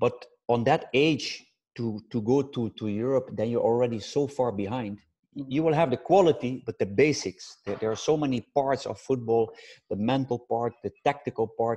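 With a Dutch accent, a man speaks in a dark, mellow tone and ordinary pitch variation, the sound dry and close with no echo. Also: medium pitch for a man, moderate pace. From Netherlands. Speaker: football coach. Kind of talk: interview. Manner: halting.

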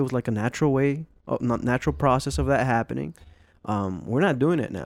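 In a very clean recording with a silent background, a man with a plain, everyday voice talks at medium pitch and a fairly quick pace with lively intonation. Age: 30s. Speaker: podcast co-host. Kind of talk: casual chat.

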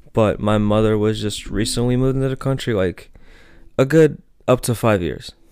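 A man speaks at a medium pitch and a moderate pace with an American accent. It is a normal speaking voice with ordinary pitch variation. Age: young. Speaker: student podcaster. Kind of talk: casual solo commentary. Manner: many filler words, casual.

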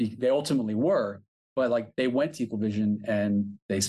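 A man speaks at a fairly low pitch. He has a plain, everyday voice. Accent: American. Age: 40s. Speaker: record label owner. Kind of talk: casual interview. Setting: video call.

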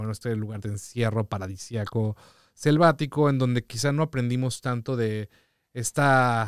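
Delivered at a moderate pace with fairly even intonation, this is a normal speaking voice. The sound is dry and close with no echo, on a very clean recording with a silent background. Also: man. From Mexico City. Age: 30s. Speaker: DJ and music producer. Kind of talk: casual chat.

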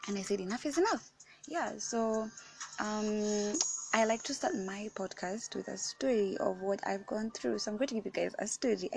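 Over music in the background, a woman with a fairly high voice speaks at a moderate pace. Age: 18. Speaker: podcast host. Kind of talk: casual, chatty.

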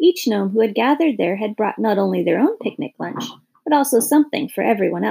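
This is plain reading aloud with lively intonation. The background stays quiet.

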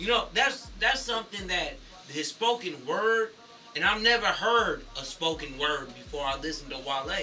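A man's high-pitched, raised and projected voice with very wide pitch swings, music in the background. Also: moderate pace. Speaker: podcast co-host. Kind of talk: casual chat.

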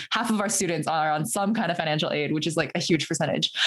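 A woman with an American accent has an ordinary speaking voice, a fairly low pitch and ordinary pitch variation. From Fremont, California (Bay Area). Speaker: former political candidate and software engineer. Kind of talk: casual interview.

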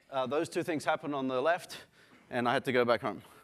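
Fairly quick speech from a man with an Australian accent, ordinary pitch variation, very clean recording and silent background. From Australia, Sydney. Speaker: software company founder and CEO. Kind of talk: conference talk. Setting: stage with audience. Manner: halting, many fillers.

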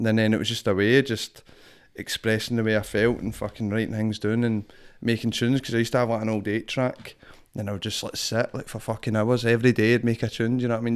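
In a strong Glasgow accent, the voice races at a very fast pace with monotone, flat intonation, recorded very cleanly against a silent background. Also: man. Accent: strong Glaswegian Scottish. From Glasgow, Scotland. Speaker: rapper and performing artist. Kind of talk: casual interview chat. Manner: casual, swears a lot, filler phrases.

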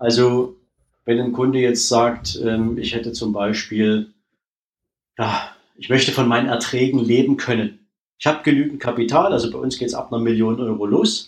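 A man speaks at a moderate pace and medium pitch. His intonation is fairly even, with long, frequent pauses. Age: 40s. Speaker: wealth manager, former bank employee. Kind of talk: interview.

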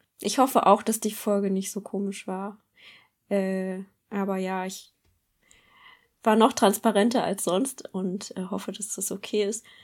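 A woman at a medium pitch speaks at a fairly slow pace in a monotone, flat way, with big swings in loudness and long, frequent pauses, on a very clean recording with a silent background. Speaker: podcast co-host. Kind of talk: casual chat. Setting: studio.

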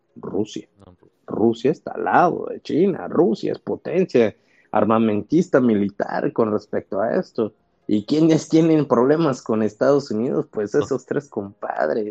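Lively intonation and vocal fry mark this man's medium-pitched speech at a fairly slow pace. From Tabasco, Mexico. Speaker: physician. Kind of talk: interview. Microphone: connection problems, audio may cut out.

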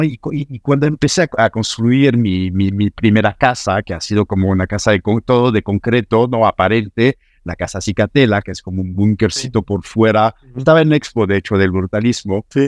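A man speaks with a French accent. The background is quiet. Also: dry, close sound with no echo. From France (Normandy). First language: French (speaking Spanish). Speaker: architect. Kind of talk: interview. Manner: halting, many repetitions.

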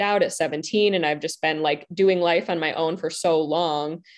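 Her voice is an unremarkable speaking voice, a woman's with fairly low pitch and fairly even intonation. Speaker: love empowerment coach. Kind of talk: panel discussion in a live online event. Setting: video call with online audience.

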